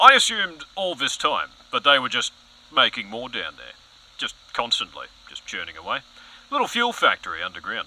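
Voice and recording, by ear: Putting on a character voice, a man speaks at a moderate pace with a bright, sharp tone and very wide pitch swings. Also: medium pitch for a man.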